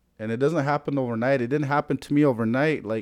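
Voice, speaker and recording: A man with an American accent speaks with fairly even intonation. The sound is dry and close with no echo, on a very clean recording with a silent background. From US Plains, Lakota (Pine Ridge, South Dakota). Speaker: Lakota culture and language keeper. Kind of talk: casual interview chat.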